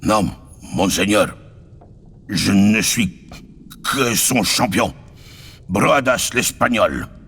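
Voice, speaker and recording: A man does a put-on character voice that is raspy and fairly low in pitch, speaking at a very slow pace with long, frequent pauses. Clear background noise runs underneath. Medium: read story. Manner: stammering, halting.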